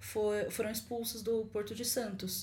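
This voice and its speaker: A woman talks, and room echo can be heard around her voice. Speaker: podcast guest, student. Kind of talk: casual chat.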